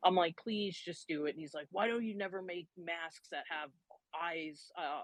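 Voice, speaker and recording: A woman with a normal speaking voice talks at a moderate pace, her fairly low pitch moving with ordinary variation and her loudness swinging widely, in a dry, close recording with no echo over a quiet background. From US Northeast (New Hampshire). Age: 40s. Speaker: photographer. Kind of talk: interview conversation.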